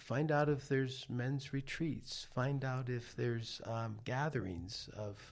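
Speaking very slowly, a man with an American accent sounds somewhat breathy. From New York City. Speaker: life coach. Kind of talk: casual chat. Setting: studio.

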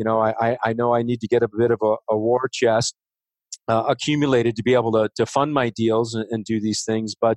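A man with an American accent speaks at a moderate pace and medium pitch. The sound is dry and close, with no echo. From Chicago west suburbs. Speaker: real estate investor. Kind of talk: interview. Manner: halting, many fillers.

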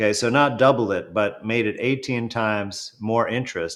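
In an unremarkable speaking voice, a man with a medium pitch speaks at a moderate pace with ordinary pitch variation on a very clean recording with a silent background. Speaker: doctor and commentator. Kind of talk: interview.

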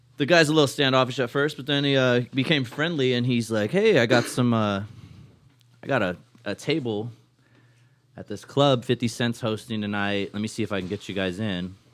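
This man has an ordinary speaking voice, medium in pitch with ordinary pitch variation, and he talks at a fairly quick pace. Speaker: co-host, comedian. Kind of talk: casual chat. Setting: studio.

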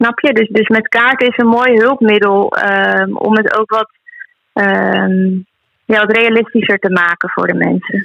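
In a plain, everyday voice, a woman speaks at a fairly slow pace with a fairly high pitch, fairly even intonation, very even loudness, and a dry, close sound with no echo. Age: 20s. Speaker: healer and animal communicator. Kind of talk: casual interview.

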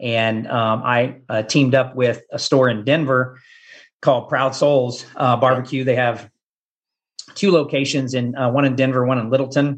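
Speaking at a moderate pace, a man with a Midwestern American accent keeps a medium pitch and a flat, monotone intonation. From Kansas. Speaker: barbecue pitmaster and former teacher. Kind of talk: casual interview.

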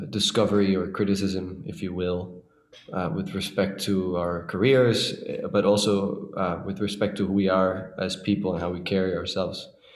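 With audible room echo behind him, a man talks at a moderate pace in a very deep, low pitch and fairly even intonation. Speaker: orchestral clarinetist. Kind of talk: casual chat.

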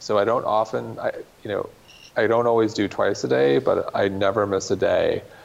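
Speaking at a moderate pace, a man keeps his loudness very even. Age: 40s. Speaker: wellness media entrepreneur. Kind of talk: casual interview.

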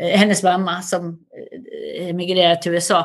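A woman talks at a fairly low pitch. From Sweden, Västerdalarna (Dalarna). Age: 60s. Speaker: cultural institute director. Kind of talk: interview.

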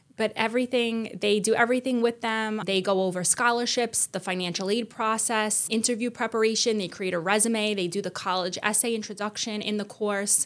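A woman speaks in an unremarkable speaking voice at a fairly high pitch. Her pace is fairly quick, her intonation fairly even, with hardly any pauses. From Staten Island, New York City. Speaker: school guidance director. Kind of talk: casual interview. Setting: studio.

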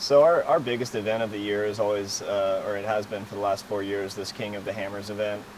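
Delivery comes at a very fast pace with fairly even intonation. Audible room echo is present. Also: man, fairly low pitch for a man. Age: 30s. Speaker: professional off-road racer. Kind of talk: casual interview. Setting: race shop.

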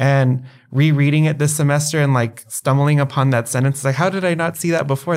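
A man with an American accent, an unremarkable speaking voice, medium pitch, fairly even intonation and a moderate pace, on a very clean recording with a silent background. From El Paso, Texas. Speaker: PhD student. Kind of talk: interview conversation.

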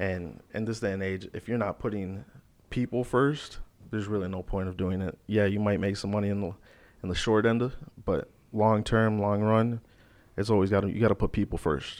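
Against a quiet background, a man speaks in a normal speaking voice at a moderate pace, with fairly low pitch and fairly even intonation. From Florida (Naples), from middle school; born in Chicago. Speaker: mortgage loan officer. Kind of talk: podcast interview.

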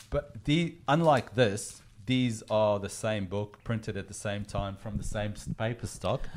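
This man has an Australian accent and a fairly low pitch. He speaks fairly slowly, with ordinary pitch variation. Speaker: comics collecting podcast host. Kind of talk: casual chat. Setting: video call.

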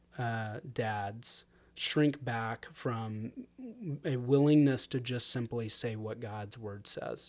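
A man with an American accent talks at a very slow pace with ordinary pitch variation. The recording is very clean, with a silent background. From Fort Worth, Texas. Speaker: pastor and church elder. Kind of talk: casual interview discussing education and scripture. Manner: thoughtful, hesitant with fillers.

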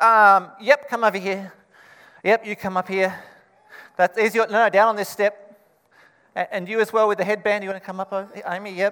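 Speaking with an Australian accent, a man uses a raised, projected voice at high pitch with monotone, flat intonation. He keeps a moderate pace with long, frequent pauses. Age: 40s. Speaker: pastor. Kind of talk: children's Christmas reenactment; sermon.

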